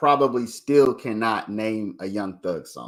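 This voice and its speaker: A man's unremarkable speaking voice at a fairly slow pace, on a very clean recording with a silent background. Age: 40s. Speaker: livestream host commenting on a court trial. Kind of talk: casual livestream commentary. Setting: livestream with viewers. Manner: casual, conversational.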